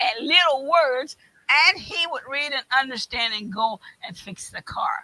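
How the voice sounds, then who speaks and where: With an American accent, a woman talks at a fairly slow pace in a high, bright, sharp voice. Her pitch swings very widely and her loudness rises and falls sharply. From West Virginia. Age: 70s. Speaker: community panelist. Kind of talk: panel discussion. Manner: halting.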